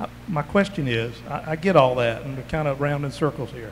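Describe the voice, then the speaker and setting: In a Southern US accent, a man talks at a fairly quick pace and fairly high pitch with ordinary pitch variation. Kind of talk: community meeting questions. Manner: loud.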